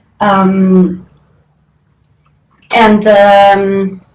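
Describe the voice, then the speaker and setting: A woman with a medium pitch talks amid audible room echo. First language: not English. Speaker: postgraduate researcher. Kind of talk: interview testimony. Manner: hesitant, many fillers.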